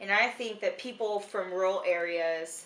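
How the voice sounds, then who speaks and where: With noticeable noise behind her, a woman talks at a medium pitch, her pitch varying in an ordinary way. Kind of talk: casual chat. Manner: loud.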